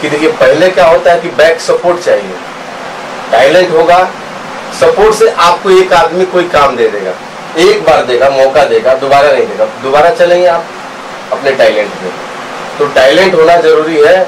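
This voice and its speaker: Very slow speech with ordinary pitch variation and noticeable background noise. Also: man, high pitch for a man. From Bihar, Gopalganj; Bihar. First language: Bhojpuri (speaking Hindi). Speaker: film director; film actor or director. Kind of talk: interview. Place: hall. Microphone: handheld.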